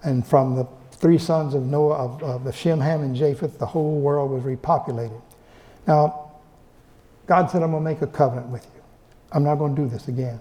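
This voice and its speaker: A man with a fairly high pitch and a dark, mellow, somewhat breathy tone speaks with fairly even intonation and long, frequent pauses. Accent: American. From Texas. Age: 80s+. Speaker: professor. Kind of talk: lecture. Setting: library event room with audience. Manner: halting, many repeated words.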